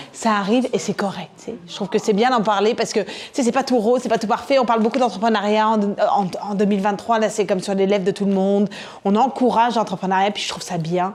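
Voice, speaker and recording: Animated and very fast, a woman talks at a fairly high pitch. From France. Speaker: entrepreneur, conference speaker. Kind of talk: conference talk.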